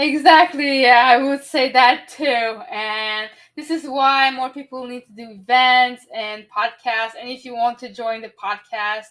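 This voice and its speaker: A high-pitched woman's voice in a French accent. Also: ordinary pitch variation, fairly slow pace. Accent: French-speaker English. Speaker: podcast host and event organizer. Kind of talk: podcast interview. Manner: halting, searching for words.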